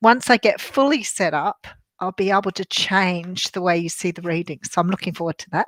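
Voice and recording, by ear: A woman with a husky voice speaks in an Australian accent, the sound dry and close with no echo.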